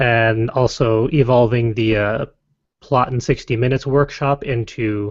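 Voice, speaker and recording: Against a quiet background, a man with a Connecticut accent speaks at medium pitch. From Connecticut, US. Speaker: podcast co-host. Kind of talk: casual chat.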